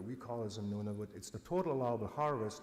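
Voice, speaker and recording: Ordinary pitch movement from a man at medium pitch, fairly quick in tempo, with room echo audible around him. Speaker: government polar bear biologist. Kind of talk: conference presentation. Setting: conference with translator. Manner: fast; loud.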